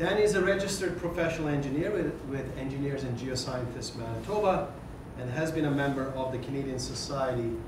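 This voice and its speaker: Audible room echo and noticeable background noise around a man talking fairly quickly. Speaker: associate dean hosting seminar. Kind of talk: formal introduction. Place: classroom.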